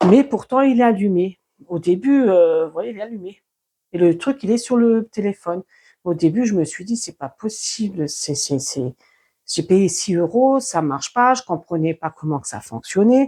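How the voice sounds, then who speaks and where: Speaking at a fairly slow pace, a woman with a medium pitch and a dark, mellow tone makes very wide pitch swings, recorded very cleanly against a silent background with a dry, close sound and no echo. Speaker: YouTuber testing a microphone. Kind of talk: product test demonstration. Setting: at home, walking between rooms. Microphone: cheap clip-on lavalier mic on collar.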